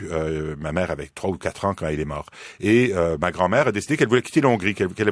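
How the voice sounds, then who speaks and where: A man's lively intonation comes across on a very clean recording, its background silent. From Quebec, Montreal. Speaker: philosophy professor. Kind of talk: radio interview. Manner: halting, many fillers.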